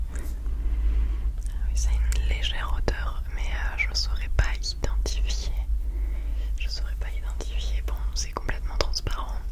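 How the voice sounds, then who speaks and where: Whispering and soft-spoken, the voice moves at a very slow pace. Noticeable background noise runs underneath. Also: woman. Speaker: ASMR creator. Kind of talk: whispered ASMR unboxing. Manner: whispered, soft.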